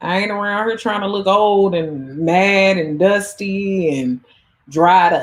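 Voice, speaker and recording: The woman talks at a fairly slow pace with ordinary pitch variation. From US Midwest, St. Louis. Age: 30s. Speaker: YouTuber and dating coach. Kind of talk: casual livestream chat. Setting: livestream with live chat comments. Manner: animated, conversational.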